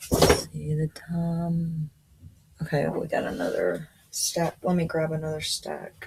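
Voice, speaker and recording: Fairly slow female speech amid noticeable background noise. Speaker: coloring hobbyist YouTuber. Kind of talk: casual show-and-tell vlog. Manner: casual, with fillers.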